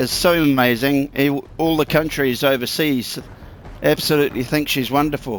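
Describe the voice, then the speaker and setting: A man with a New Zealand accent speaks at a moderate pace in a fairly high pitch with fairly even intonation. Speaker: gaming YouTuber. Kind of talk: gameplay commentary. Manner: casual, swearing rant.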